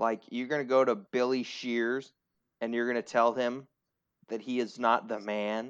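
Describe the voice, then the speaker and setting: Flat, monotone intonation runs through speech delivered at a moderate pace. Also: man, medium pitch for a man. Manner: hesitant, casual.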